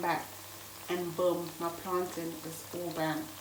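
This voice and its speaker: A woman with a fairly low pitch speaks in a monotone, flat way over noticeable background noise. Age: 20s. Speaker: chef. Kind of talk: cooking tutorial talk to camera.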